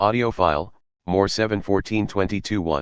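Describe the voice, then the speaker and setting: A man's put-on character voice, fairly low in pitch, at a moderate pace against a quiet background. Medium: audio drama. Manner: monotone, clipped.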